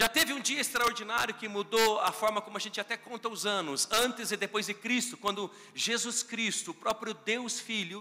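At a moderate pace, a man speaks in a raised, projected voice with a high pitch. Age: 40s. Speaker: pastor. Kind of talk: sermon. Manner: animated.

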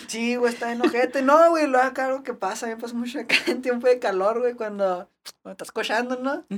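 Her voice is high for a woman and moves quite quickly. Its loudness swings widely while the pitch varies in an ordinary way. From Ciudad Juárez, Mexico. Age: 20s. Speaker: BMX rider. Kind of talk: casual chat.

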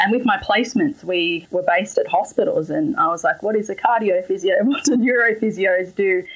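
A woman with an Australian accent speaks in a fairly high pitch with lively intonation. Her loudness stays very even, and she hardly pauses. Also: fairly quick pace. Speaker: physiotherapist. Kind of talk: interview.

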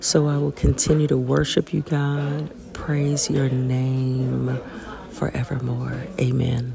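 A woman talks at a very slow pace while noticeable background noise carries on behind her. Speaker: person praying. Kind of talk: fervent spoken prayer of thanks, earnest and heartfelt, addressed to God. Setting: outdoors at a mountain chapel.

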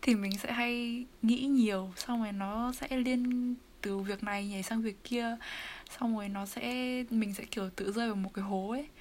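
Fairly even intonation and a fairly slow pace come through noticeable background noise. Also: woman, fairly high pitch for a woman. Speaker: university student. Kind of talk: casual chat.

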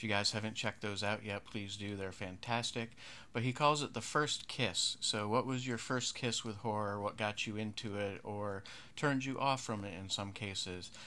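A man speaks at a moderate pace with a fairly low pitch, a bright, sharp tone and fairly even intonation, in a very clean recording with a silent background. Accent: American. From western New York. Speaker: horror podcast host. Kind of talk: casual podcast commentary.

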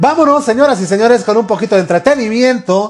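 A man with a Mexican accent speaks at a fairly quick pace in an animated tone. His pitch swings very widely. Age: 40s. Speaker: podcast host. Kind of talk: casual chat.

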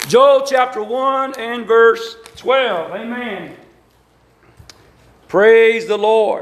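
With audible room echo, a man speaks at a very slow pace in an extremely high pitch, his pitch varying in an ordinary way and broken by long, frequent pauses. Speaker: Pentecostal preacher. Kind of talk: sermon. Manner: animated.

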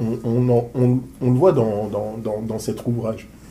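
Somewhat breathy and dark, mellow in tone, a man speaks very slowly at medium pitch. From Paris suburbs, France. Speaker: interviewer and business coach. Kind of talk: interview. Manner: animated.

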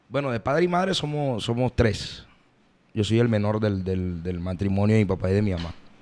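Talking at a fairly quick pace, a man uses lively intonation and a fairly low pitch. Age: 20s. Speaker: vallenato singer. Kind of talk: casual interview.

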